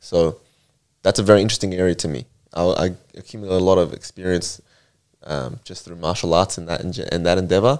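A man with a very deep, low pitch and ordinary pitch variation talks at a fairly quick pace, with big swings in loudness and long, frequent pauses. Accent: Australian. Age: 20s. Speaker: martial arts fighter. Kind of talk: casual chat.

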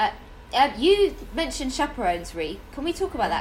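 A high-pitched woman's voice with very wide pitch swings at a fairly quick pace, amid noticeable background noise. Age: 30s. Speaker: podcast host and actor. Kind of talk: casual chat.

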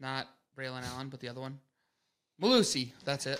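With an Upper Midwest accent, a man speaks at a moderate pace in a medium pitch. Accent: Upper Midwest American. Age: 20s. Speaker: podcast co-host. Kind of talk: casual chat.

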